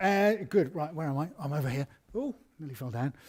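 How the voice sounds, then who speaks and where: With an English accent, a man speaks at a fairly quick pace in a somewhat breathy voice with lively intonation. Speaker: artist hosting live Q&A. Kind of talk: live stream Q&A. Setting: art studio live stream. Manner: casual, chatty.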